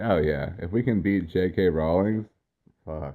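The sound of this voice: A man speaks at a fairly slow pace in a low pitch. His pitch variation is ordinary.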